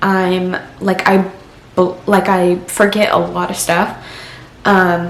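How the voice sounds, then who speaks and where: A woman speaks at a very slow pace and a medium pitch, with long, frequent pauses, very even loudness and monotone, flat intonation, while audible room echo and noticeable background noise fill the recording. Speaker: vlogger. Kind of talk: personal vlog. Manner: halting.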